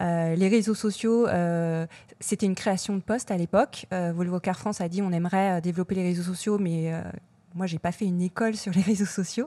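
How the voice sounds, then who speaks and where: Heard in a very clean recording with a silent background, a woman with an ordinary speaking voice talks at a medium pitch and a moderate pace, her intonation fairly even. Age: 40s. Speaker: social media and influencer marketing manager. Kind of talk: interview.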